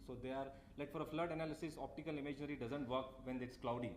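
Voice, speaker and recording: Noticeable background noise and audible room echo surround a man whose pitch is fairly high. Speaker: tech company representative. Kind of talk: conference talk. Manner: fast.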